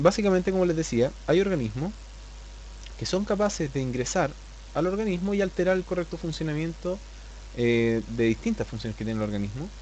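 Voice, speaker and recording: A man at a fairly quick pace, with long, frequent pauses. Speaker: biology teacher. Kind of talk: lecture. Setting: live online class. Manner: fast; flatter than usual.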